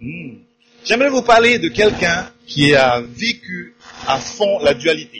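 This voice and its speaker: Very wide pitch swings mark this man's speech, delivered at a very slow pace. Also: fairly high pitch for a man. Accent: Tahitian. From Tahiti, French Polynesia. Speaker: pastor. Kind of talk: sermon with live interpretation. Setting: church service with audience.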